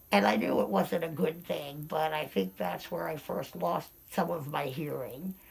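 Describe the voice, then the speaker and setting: A woman speaks with a very deep, low pitch, vocal fry, and an American accent. She moves at a fairly slow pace, and her pitch swings very widely. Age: 60s. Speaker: interviewee sharing hearing loss experience. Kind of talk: casual interview, personal anecdotes.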